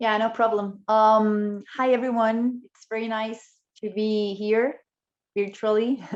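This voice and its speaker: Talking at a very slow pace in a Spanish accent, a woman keeps a monotone, flat intonation while her loudness swings widely. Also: fairly high pitch for a woman. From Chile. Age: 30s. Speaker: politician. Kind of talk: panel discussion. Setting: video call.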